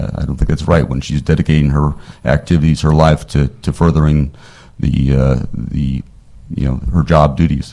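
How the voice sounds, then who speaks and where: The man talks fairly quickly. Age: 60s. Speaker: attorney testifying as witness. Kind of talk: committee hearing testimony.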